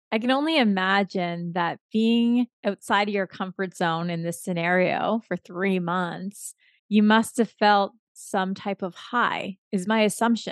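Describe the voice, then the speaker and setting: In an ordinary speaking voice, a woman talks at a fairly slow pace with medium pitch and ordinary pitch variation against a quiet background. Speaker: podcast host. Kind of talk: interview, conversational.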